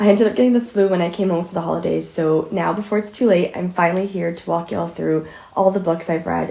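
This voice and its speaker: A woman with a dark, mellow tone and vocal fry speaks at a very fast pace with hardly any pauses, her fairly low pitch showing ordinary variation. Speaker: book reviewer. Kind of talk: casual talk to camera.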